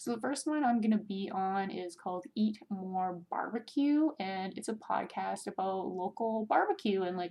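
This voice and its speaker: Here is a woman with a normal speaking voice at a medium pitch. She talks at a fairly slow pace with hardly any pauses. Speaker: podcast host. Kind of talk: casual podcast monologue. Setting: at home. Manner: chatty, filler words.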